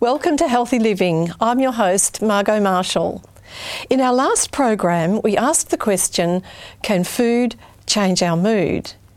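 A woman's unremarkable speaking voice, fairly high, with lively intonation, very even loudness and a fairly slow pace. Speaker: TV health show host. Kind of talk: interview. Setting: studio.

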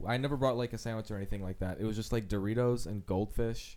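Using a normal speaking voice, a man talks at a fairly quick pace and a medium pitch. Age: 20s. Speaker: improv comedian. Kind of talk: casual chat.

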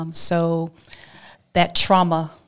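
A fairly low-pitched woman with an American accent and monotone, flat intonation. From Alabama. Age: 40s. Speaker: abstinence advocate and speaker. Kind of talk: testimony.

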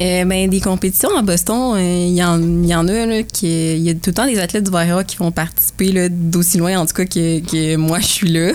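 A woman with a plain, everyday voice speaks at a moderate pace and a fairly low pitch, with fairly even intonation and hardly any pauses. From Quebec, Bois-Francs region. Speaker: university athlete and medical student. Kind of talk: casual interview.

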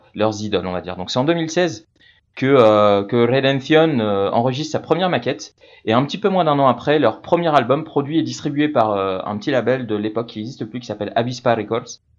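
This man has an unremarkable speaking voice, pitched in the medium range. He talks at a moderate pace with ordinary pitch variation. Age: 40s. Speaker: radio music columnist. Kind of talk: casual radio chronicle. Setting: remote from Madrid.

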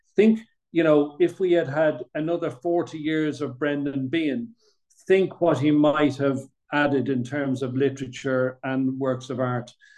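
This man speaks at a fairly slow pace. His pitch is fairly high and his intonation fairly even. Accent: Dublin. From Dublin, Ireland. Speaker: playwright. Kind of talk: casual chat. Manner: halting, many fillers.

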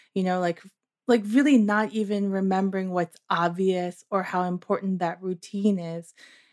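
A woman with a normal speaking voice at a medium pitch and fairly even intonation is heard on a very clean recording with a silent background and dry, close sound with no echo. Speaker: podcast host. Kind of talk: interview.

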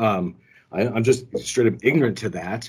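On a very clean recording with a silent background, a man speaks in an unremarkable speaking voice. He moves at a moderate pace with lively intonation. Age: 50s. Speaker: shop owner and co-host. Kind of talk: casual chat.

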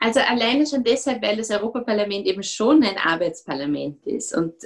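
A woman with a normal speaking voice, lively intonation and a moderate pace. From Austria, Vorarlberg. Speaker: politician. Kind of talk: interview.

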